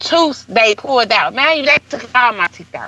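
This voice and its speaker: Her voice is raised and projected. This woman speaks at a high pitch. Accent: American. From St. Louis, Missouri. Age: 30s. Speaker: hairstylist and entrepreneur. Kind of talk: interview.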